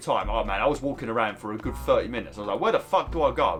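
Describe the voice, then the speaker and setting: A man speaks with music playing in the background. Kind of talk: casual video game commentary. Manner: casual, chatty, swears.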